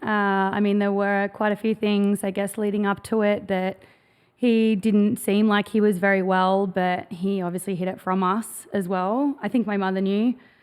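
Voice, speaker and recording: Speaking with an Australian accent at medium pitch, a woman talks with hardly any pauses in a very clean recording against a silent background. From Australia, Gold Coast, Queensland. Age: 30s. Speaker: clothing brand founder. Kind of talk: podcast interview.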